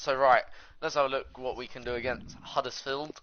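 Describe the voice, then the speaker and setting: The speaker is a man with a British accent. He has a fairly high voice. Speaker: gaming YouTuber. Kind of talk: gameplay commentary. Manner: hesitant, many fillers.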